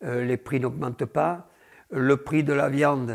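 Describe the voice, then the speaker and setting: Against a silent background in a very clean recording, a man speaks very slowly in a fairly high pitch with ordinary pitch variation. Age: 70s. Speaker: bull breeder. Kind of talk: interview.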